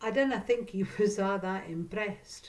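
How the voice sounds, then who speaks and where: In a North East Scottish accent, a woman speaks at a fairly slow pace. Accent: North East Scots (Doric). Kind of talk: storytelling.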